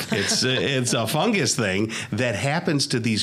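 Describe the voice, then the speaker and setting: Noticeable background noise accompanies a man speaking with an American accent at a moderate pace. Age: 60s. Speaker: radio talk show host. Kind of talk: casual chat interview. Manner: conversational, with hesitations.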